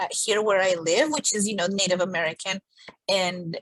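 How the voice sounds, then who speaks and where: Heard with a dry, close sound and no echo, a woman speaks at medium pitch with ordinary pitch variation and a Spanish accent. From Colombia. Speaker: podcast co-host. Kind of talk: casual chat.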